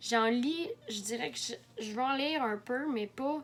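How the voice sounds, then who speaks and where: A woman talks in a Quebec accent. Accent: Québécois French. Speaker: book vlogger. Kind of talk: casual video monologue. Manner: halting, many fillers.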